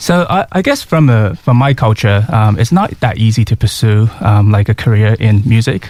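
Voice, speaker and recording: A man with a Mandarin accent speaks at a moderate pace with hardly any pauses, his medium-pitched, somewhat breathy voice showing lively intonation and very even loudness. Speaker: singer-songwriter. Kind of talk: radio interview. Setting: radio studio. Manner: halting.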